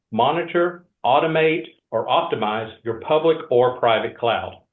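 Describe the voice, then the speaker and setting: This man speaks in a Georgia accent. His pitch varies in an ordinary way. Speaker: industry research analyst. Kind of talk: webinar presentation.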